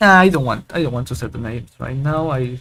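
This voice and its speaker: Very fast speech with a Spanish accent. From Argentina. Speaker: programming tutorial youtuber. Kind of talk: screen-recorded coding tutorial. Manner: casual, thinking aloud with hesitations.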